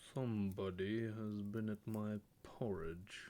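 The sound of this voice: A man performs a put-on character voice. His pitch is fairly low and his pace fairly slow.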